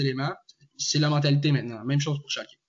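A fairly high-pitched, somewhat breathy male voice. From Quebec, Joliette. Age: 20s. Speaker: student and football fan panelist. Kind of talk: casual sports discussion. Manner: halting, many repetitions.

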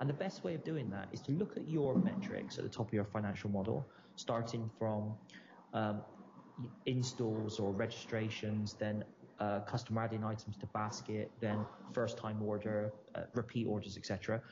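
A man speaks at a moderate pace in a fairly low, somewhat breathy voice. His intonation stays fairly even. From Bristol, England. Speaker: entrepreneur, company founder. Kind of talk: interview.

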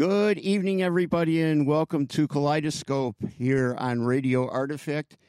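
A man with an unremarkable speaking voice and a fairly high pitch talks at a moderate pace with hardly any pauses, very even loudness and ordinary pitch variation, in a dry, close sound with no echo. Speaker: radio host. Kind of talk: radio DJ patter, back-announcing songs and promoting the show and a festival. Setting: radio studio broadcast. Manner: relaxed, chatty, easygoing.

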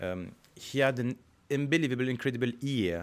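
A man talks at a moderate pace with a French accent, in a very clean recording with a silent background. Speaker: orchestra conductor. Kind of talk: interview. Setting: concert hall. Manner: halting.

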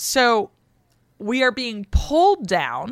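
This woman speaks with an American accent and an animated tone, her pitch swinging very widely. The sound is dry and close with no echo, and the recording is very clean with a silent background. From US West Coast. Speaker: historian, podcast co-host. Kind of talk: casual chat and historical explainer.

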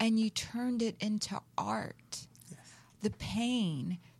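A woman with an American accent, somewhat breathy, at a very slow pace with ordinary pitch variation. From US South. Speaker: talk show host. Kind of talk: casual chat. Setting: studio.

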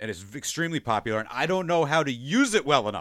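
Very fast and with very wide pitch swings, a man with a Long Island accent speaks at a fairly high pitch in a bright, sharp tone. The recording is very clean, with a silent background. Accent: Long Island New York. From US Northeast, Long Island, New York. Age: 40s. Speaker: podcast host. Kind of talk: casual chat.

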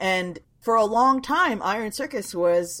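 A woman with a normal speaking voice speaks in an American accent. Her fairly high pitch moves with lively intonation. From Washington DC suburbs. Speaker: comics publisher. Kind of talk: casual chat.

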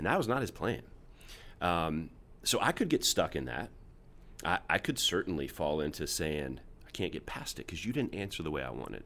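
The voice has a bright, sharp tone with vocal fry and very wide pitch swings, at a moderate pace with long, frequent pauses. The recording is very clean, with a silent background. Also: man, very deep, low pitch for a man. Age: 40s. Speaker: pastor. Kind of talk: casual chat.

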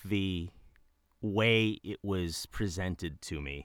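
A man with an American accent speaks in a bright, sharp tone. The sound is dry and close with no echo, and the recording is very clean with a silent background. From US Midwest, suburbs of Detroit. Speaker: voice actor. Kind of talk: interview. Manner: halting, many repeated words.

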